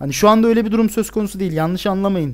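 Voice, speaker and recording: A man speaks with a high pitch and ordinary pitch variation. The background is quiet. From Turkey, Bursa; Turkey. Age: 20s. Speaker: gaming YouTuber, university student; gaming YouTuber. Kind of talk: casual Q&A monologue to camera. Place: home room.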